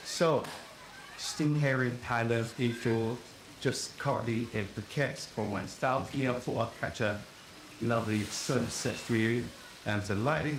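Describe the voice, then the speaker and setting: Over noticeable background noise, a man talks at a fairly slow pace with a medium pitch. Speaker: rum reviewer. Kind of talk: casual talk to camera.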